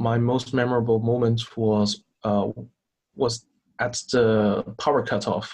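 A man with a Chinese accent speaks very slowly in a monotone, flat intonation at a medium pitch, his loudness very even against a quiet background. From China. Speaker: student team captain. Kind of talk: interview. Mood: recounting a memorable event. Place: home room. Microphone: video call.

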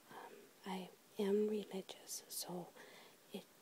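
A soft-spoken woman whispers. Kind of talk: ASMR whisper tag video. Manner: whispered, soft-spoken.

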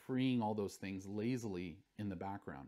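A man speaks with lively intonation and a fairly quick pace, the background quiet around him. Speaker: university lecturer. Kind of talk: lecture. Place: studio.

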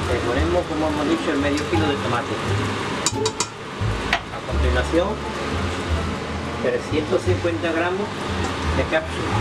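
Over loud background noise, a man talks with long, frequent pauses. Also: fairly slow pace. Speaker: retired hospitality cook. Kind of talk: cooking tutorial. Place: kitchen.

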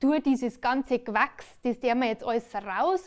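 A woman with a high pitch speaks at a moderate pace against a quiet background. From Bavaria. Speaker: cabaret performer. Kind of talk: stand-up comedy on stage. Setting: live stage. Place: stage. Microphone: headset.

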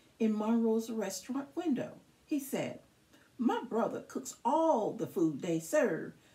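The speaker reads aloud in a natural voice, using lively intonation.

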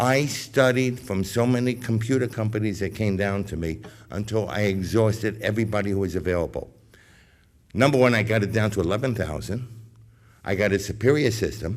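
Speaking in a normal speaking voice, a man talks at a moderate pace with fairly low pitch and ordinary pitch variation. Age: 60s. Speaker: business owner, public commenter. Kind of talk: public comment. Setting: school board meeting.

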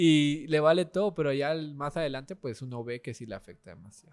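The pitch shows ordinary variation. It is a man talking. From Guatemala. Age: 20s. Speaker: content creator; podcast guest, content creator. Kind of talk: casual chat. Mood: relaxed, anecdotal storytelling. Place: cafe. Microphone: studio mic.

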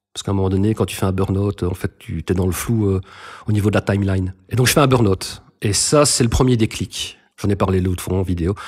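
Somewhat breathy and fairly low in pitch, a man speaks at a fairly quick pace in a dry, close recording with no echo. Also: ordinary pitch variation. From Belgium, Brussels suburbs. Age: 40s. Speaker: recovering addict, content creator. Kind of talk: testimony.

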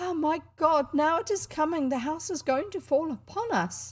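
A female-sounding, put-on character voice speaks at a high pitch. It sounds shaky and moves at a moderate pace.

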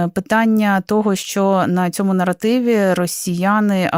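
An ordinary speaking voice at a fairly slow pace, with ordinary pitch variation and a dry, close sound with no echo on a very clean recording over a silent background. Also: woman. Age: 30s. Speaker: radio host. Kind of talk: radio talk show.

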